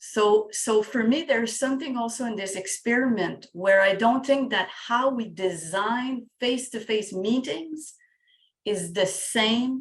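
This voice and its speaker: Intonation is lively in this woman's voice. She talks at a very slow pace. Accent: strong French. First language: French. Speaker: facilitator and coach. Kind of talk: casual group discussion. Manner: halting, repeats words.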